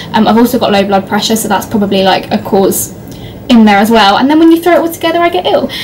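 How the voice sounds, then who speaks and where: Over light background noise, a woman with an English accent talks very fast in a fairly high voice, her pitch swinging very widely. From Leicester, England. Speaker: university student vlogger. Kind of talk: casual talk to camera. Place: home room. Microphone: phone near.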